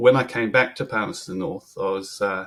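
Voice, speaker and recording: A man at a moderate pace, with a slight English accent. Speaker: brewer. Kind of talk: podcast interview. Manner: hesitant, many ums.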